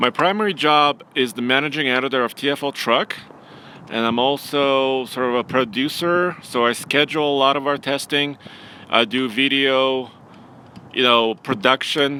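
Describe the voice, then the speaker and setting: A man talks at a moderate pace with a Russian accent. His pitch sits in the medium range. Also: ordinary pitch variation. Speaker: automotive journalist and producer. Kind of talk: live stream casual chat.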